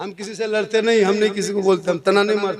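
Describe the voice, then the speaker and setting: This is a man's voice. His pitch is high. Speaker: Islamic preacher. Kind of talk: religious sermon. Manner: humorous, emotional.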